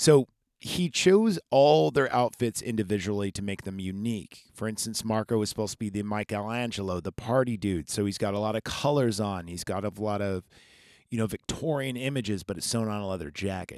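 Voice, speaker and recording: The recording is very clean, with a silent background and a dry, close sound with no echo. A man speaks at a fairly quick pace in a fairly low pitch, with an animated tone and ordinary pitch variation. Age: 30s. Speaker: podcast host. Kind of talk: solo podcast monologue. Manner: casual, animated.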